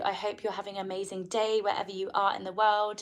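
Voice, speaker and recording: A woman of medium pitch speaks with a strong English accent. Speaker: live streamer. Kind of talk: casual live stream talk.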